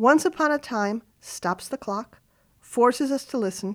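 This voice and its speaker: Speaking at a moderate pace, a woman uses an ordinary speaking voice and lively intonation. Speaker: radio commentator. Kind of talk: scripted radio essay with dramatic, storytelling narration. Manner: formal, reflective.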